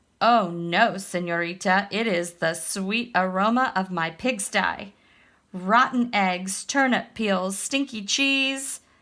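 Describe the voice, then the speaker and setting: A woman's put-on character voice at a medium pitch and a fairly slow pace. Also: very clean recording, silent background. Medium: read story.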